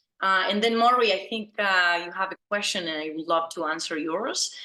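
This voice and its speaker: A woman's bright, sharp, fairly low voice in an Argentine accent, with lively intonation over a quiet background. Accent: Argentine Spanish accent, evident. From Argentina. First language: Spanish. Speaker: business founder, branding consultant. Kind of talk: interview on video call. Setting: video call.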